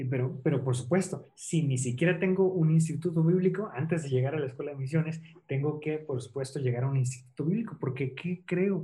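Somewhat breathy and dark, mellow in tone, a man's fairly high voice moves at a fairly quick pace with ordinary pitch variation. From central Mexico, Toluca. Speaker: missionary. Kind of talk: interview.

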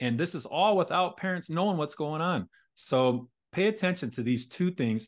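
A man with an unremarkable speaking voice talks at a moderate pace, his pitch fairly high and his intonation lively. The background is quiet. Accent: American. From rural Indiana. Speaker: former teacher and author. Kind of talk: interview.

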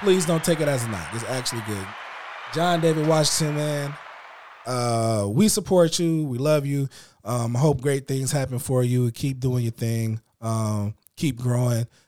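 This is an unremarkable speaking voice, a man's, at medium pitch with an American accent. He keeps a moderate pace and ordinary pitch variation. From Illinois. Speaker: podcast host. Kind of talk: casual chat.

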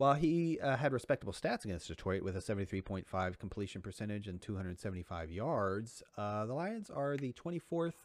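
A man with an ordinary speaking voice, fairly low-pitched, with lively intonation at a fairly quick pace on a very clean recording with a silent background. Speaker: fantasy football podcast co-host. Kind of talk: casual chat.

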